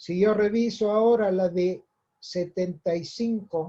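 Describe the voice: Speaking slowly, a man has a high pitch, a dark, mellow tone, and a slightly husky edge.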